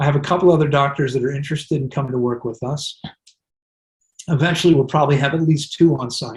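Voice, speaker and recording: A man with an American accent, somewhat breathy and fairly high-pitched, at a very fast pace with fairly even intonation. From US. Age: 60s. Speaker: wellness center director. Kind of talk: interview.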